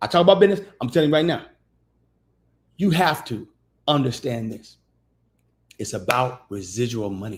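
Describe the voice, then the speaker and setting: Over a silent background in a very clean recording, a man speaks at a moderate pace in an animated, somewhat breathy voice with very wide pitch swings and long, frequent pauses. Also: medium pitch for a man. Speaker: podcast host teaching business credit. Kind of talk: livestream teaching talk.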